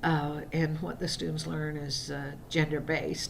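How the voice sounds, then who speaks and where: A woman with a very deep, low pitch and vocal fry talks at a moderate pace amid audible room echo. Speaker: college writing instructor. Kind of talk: recorded lecture. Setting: screen-recorded video. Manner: hesitant, many fillers.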